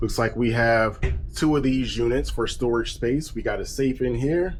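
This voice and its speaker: Music plays behind a man with an American accent, and the room echo is audible. His tone is relaxed, his pace moderate and his intonation fairly even. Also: medium pitch for a man, very even loudness. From eastern North Carolina. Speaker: travel vlogger. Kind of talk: casual vlog room tour. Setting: cruise ship cabin. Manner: casual, relaxed.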